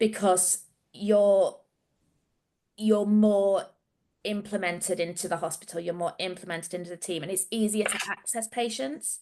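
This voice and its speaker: A woman's dark, mellow tone in a Yorkshire accent, with ordinary pitch variation and long, frequent pauses. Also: medium pitch for a woman, moderate pace. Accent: Yorkshire accent, noticeable. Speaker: research nurse. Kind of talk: casual chat.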